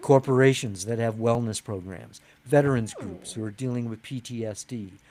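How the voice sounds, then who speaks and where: A man with an American accent at a moderate pace, fairly even intonation, and noticeable background noise. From Wisconsin. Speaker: author and writing coach. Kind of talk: interview.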